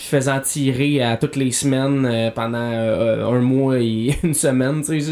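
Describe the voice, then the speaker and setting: In a Quebec accent, a man talks at a fairly slow pace. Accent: Québécois French. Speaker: podcast host. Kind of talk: casual chat while playing video games.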